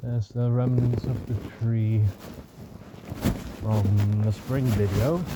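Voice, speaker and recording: A man with a non-native accent mumbles at a very slow pace and medium pitch, his intonation fairly even. He leaves long, frequent pauses over noticeable background noise. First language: not English. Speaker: vlogger living off-grid in the woods. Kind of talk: casual vlog narration while walking. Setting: outdoors in the woods. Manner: mumbling; hesitant, many filler sounds.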